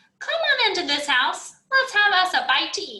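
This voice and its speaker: Her voice is a squeaky, put-on character voice, pitched extremely high for a woman. She moves at a moderate pace while her pitch leaps up and down very widely. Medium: read story. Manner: warm, homey, unhurried.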